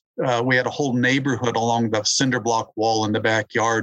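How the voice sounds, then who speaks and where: A man talks at a moderate pace with a medium pitch. His intonation stays fairly even. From New Mexico, US Southwest (Albuquerque). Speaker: entomologist and author. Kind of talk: interview. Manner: halting, with fillers and repetitions.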